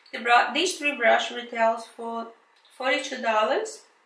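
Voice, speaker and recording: Her pitch high and its variation ordinary, a woman speaks at a moderate pace amid audible room echo. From Brazil. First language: Portuguese. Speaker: beauty vlogger. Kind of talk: product review unboxing. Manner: casual, hesitant with fillers.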